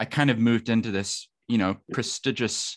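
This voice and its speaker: A man with a non-native accent speaks against a quiet background. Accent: non-New Zealand accent, foreign-born. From New Zealand. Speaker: lawyer and podcaster. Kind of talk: casual interview chat. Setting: video call.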